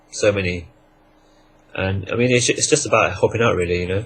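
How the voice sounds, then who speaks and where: This man's voice is somewhat breathy, moving at a fairly quick pace with ordinary pitch variation. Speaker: network marketer. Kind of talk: interview. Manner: fast.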